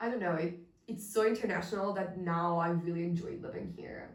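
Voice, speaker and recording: Speaking in an Italian accent, a woman keeps a moderate pace and a medium pitch with ordinary variation. Audible room echo and noticeable background noise fill the recording. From Italy, Milan. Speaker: podcast co-host, designer. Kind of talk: casual chat.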